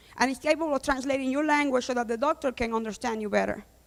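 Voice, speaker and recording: A woman's high-pitched voice with a Spanish accent and fairly even intonation. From Cuba. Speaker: data scientist and company founder. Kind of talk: conference talk.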